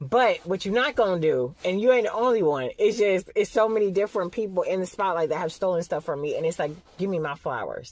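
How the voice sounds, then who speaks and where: Very fast and animated, the voice rolls on with lively intonation and hardly any pauses. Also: woman, medium pitch for a woman. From Atlanta, Georgia, US South. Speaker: vlogger. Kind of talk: casual vlog monologue.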